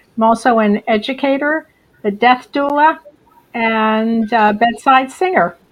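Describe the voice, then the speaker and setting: The woman has a plain, everyday voice with an American accent. Her pitch is fairly high, with ordinary variation, and her pace is fairly slow. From Western Massachusetts. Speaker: author and death doula. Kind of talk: casual chat.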